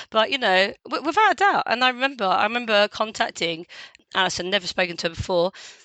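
A very fast, animated woman in a strong London accent, fairly high-pitched, with lively intonation and very even loudness. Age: 40s. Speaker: lived experience ambassador. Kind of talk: casual interview chat. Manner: talkative, animated.

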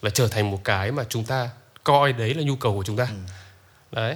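Here a man speaks at a moderate pace. His voice sits at medium pitch with ordinary pitch variation. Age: 20s. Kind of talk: casual chat.

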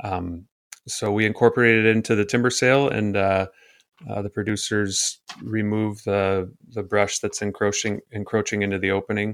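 A man with an Upper Midwest accent, fairly low-pitched and monotone and flat, at a moderate pace on a very clean recording with a silent background. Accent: Upper Midwest American (Michigan). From northern Michigan (Gaylord). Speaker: forester. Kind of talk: interview. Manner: hesitant, many fillers.

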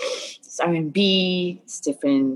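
A woman's voice with ordinary pitch variation. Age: 30s. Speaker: rapper and recording artist. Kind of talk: casual interview.

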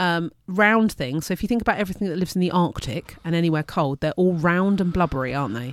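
A woman with an English accent talks at a very fast pace with lively intonation. The recording is very clean with a silent background. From UK. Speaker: science teacher. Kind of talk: casual educational chat. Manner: loud; laughs often.

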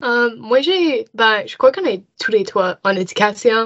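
In an English accent, a woman speaks at a very slow pace. Her fairly high pitch moves with lively intonation. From Nova Scotia (Dartmouth, Halifax area). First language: English (speaking French). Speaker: university student. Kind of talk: casual interview.

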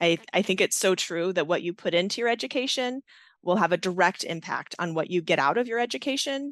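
In a quiet background with a dry, close sound and no echo, a woman speaks with an ordinary speaking voice. Her pitch is fairly low, her pace fairly quick, and her intonation lively. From US, Navy family, moved often. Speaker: nursing professor, Navy veteran. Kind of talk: interview.

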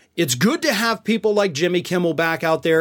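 On a very clean recording with a silent background, a man speaks in an animated tone with a high pitch. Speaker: political commentator host. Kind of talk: news commentary recapping late-night comedy, opinionated. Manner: animated, sarcastic, chuckling at the jokes.

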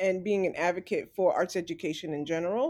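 On a very clean recording with a silent background, a woman talks with an American accent. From New York, Staten Island. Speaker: podcast co-host, arts educator. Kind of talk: interview.

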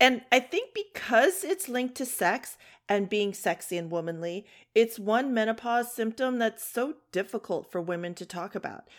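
With a normal speaking voice and a fairly high pitch, a woman talks at a moderate pace with lively intonation on a very clean recording with a silent background. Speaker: podcast host. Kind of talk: casual chat.

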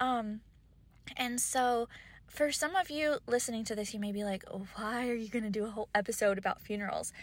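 The speaker has an American accent and talks at a fairly quick pace. Pitch variation is ordinary. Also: woman, fairly high pitch for a woman. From US South, Kentucky. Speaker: podcast host. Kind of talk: solo podcast monologue. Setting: in a parked car. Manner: hesitant with frequent fillers.

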